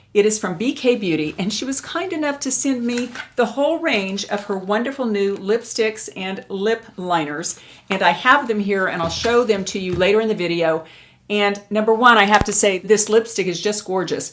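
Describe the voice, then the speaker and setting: A woman with an American accent and an ordinary speaking voice, medium-pitched with ordinary pitch variation, at a moderate pace. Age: 60s. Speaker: beauty and lifestyle youtuber. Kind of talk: casual vlog talk to camera.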